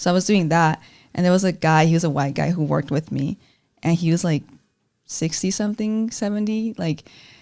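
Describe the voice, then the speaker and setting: A woman's fairly low-pitched voice with a dark, mellow tone, ordinary pitch variation and a fairly quick pace. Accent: Spanish. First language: Spanish. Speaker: student journalist, podcast host. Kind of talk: casual chat.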